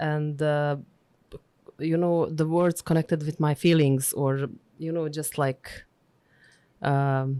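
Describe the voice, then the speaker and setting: A woman with a Bosnian accent, very deep and low in pitch, at a fairly slow pace with ordinary pitch variation, on a very clean recording with a silent background. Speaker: diplomat and linguist. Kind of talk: interview. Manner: halting.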